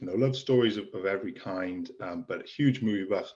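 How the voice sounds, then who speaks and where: This is a man with a Welsh accent. He speaks at a moderate pace. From Wales. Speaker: author and screenwriter. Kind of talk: interview. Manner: halting.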